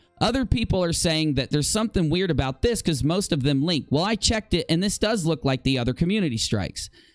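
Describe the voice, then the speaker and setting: With music in the background, a high-pitched man speaks at a very fast pace with hardly any pauses, very even loudness and lively intonation, in a dry, close sound with no echo. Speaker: YouTube commentary show host. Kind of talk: live stream commentary.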